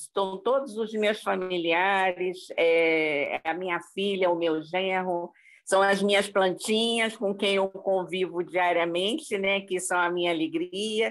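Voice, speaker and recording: Her loudness very even, a woman speaks at a very slow pace with ordinary pitch variation. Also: hardly any pauses. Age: 60s. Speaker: spiritist group member. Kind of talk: casual chat.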